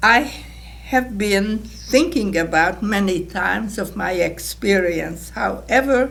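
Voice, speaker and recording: A woman speaking at a very slow pace, with audible room echo. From Hungarian-speaking Czechoslovakia. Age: 80s+. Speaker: Holocaust survivor. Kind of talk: testimony.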